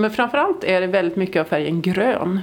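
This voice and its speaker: This woman has a plain, everyday voice at medium pitch, with ordinary pitch variation. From northern Sweden (Norrland). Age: 50s. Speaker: audio describer and artist. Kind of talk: interview. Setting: opera house foyer.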